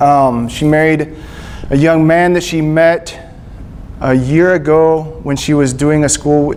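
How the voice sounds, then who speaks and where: A man with a Texas accent and a fairly high pitch is heard through noticeable background noise and audible room echo. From Texas, Panhandle then Gulf Coast. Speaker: missionary speaker. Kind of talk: church talk. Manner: casual, halting with fillers.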